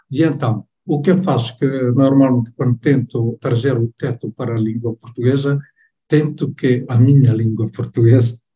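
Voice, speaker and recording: At a moderate pace, a man speaks in a medium pitch with a dark, mellow tone, somewhat breathy and monotone, in a dry, close sound with no echo. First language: Tetum (speaking Portuguese). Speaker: novelist. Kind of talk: book club interview.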